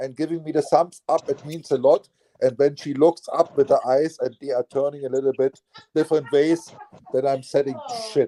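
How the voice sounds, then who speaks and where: With a German accent, a man speaks at a moderate pace in a fairly high pitch with fairly even intonation, the sound dry and close with no echo. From eastern Germany. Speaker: live stream host. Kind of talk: casual chat.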